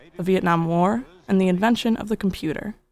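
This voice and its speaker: A woman of medium pitch in a normal speaking voice, at a fairly quick pace with ordinary pitch variation, on a very clean recording with a silent background. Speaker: documentary narrator. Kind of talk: documentary narration.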